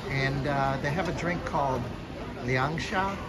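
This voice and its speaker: With crowd noise behind him, a man speaks at a very slow pace. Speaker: travel vlogger. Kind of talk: casual vlog chat. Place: street. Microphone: phone near.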